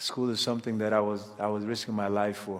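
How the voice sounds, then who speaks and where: A man's fairly low voice in monotone, flat intonation. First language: a South Sudanese language. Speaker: refugee storyteller. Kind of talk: personal testimony.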